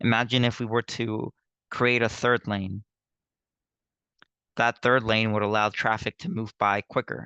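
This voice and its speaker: Speaking at a fairly slow pace, a man leaves long, frequent pauses. His medium-pitched voice has fairly even intonation, with a dry, close sound, no echo and a quiet background. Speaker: nursing tutor. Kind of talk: lecture. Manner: halting.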